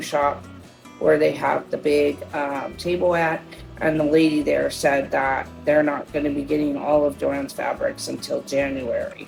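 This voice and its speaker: With music in the background, a woman talks at a fairly slow pace. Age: 50s. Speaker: shopping haul vlogger. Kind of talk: casual haul video talk. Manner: casual, many fillers.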